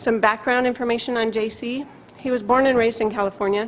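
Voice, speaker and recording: Noticeable background noise sits behind a woman whose fairly quick speech keeps a fairly even intonation. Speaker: psychiatrist. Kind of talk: lecture. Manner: fast.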